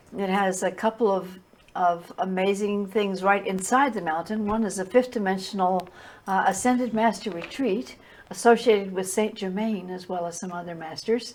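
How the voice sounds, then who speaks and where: At a moderate pace and with fairly even intonation, the speaker is heard against noticeable background noise. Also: woman, medium pitch for a woman. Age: 80s+. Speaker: spiritual teacher. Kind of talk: interview. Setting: TV studio. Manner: halting, with repetitions.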